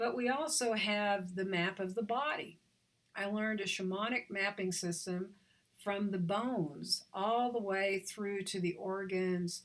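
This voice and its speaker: A woman with an American accent talks in a normal speaking voice at medium pitch, with ordinary pitch variation and a moderate pace. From Oklahoma, US. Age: 60s. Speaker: visionary artist and author. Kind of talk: talk on spirituality.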